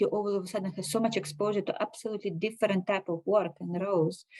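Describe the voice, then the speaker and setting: Speaking very fast with a Russian accent, a woman has a dark, mellow tone and ordinary pitch variation. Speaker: finance director. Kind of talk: interview.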